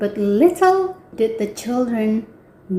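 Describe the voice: The text is read aloud plainly.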